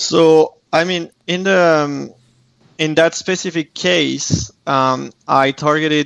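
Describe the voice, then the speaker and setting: In a dry, close sound with no echo, a man with a French accent and a fairly high voice speaks very slowly with fairly even intonation. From France. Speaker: architectural photographer. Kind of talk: interview.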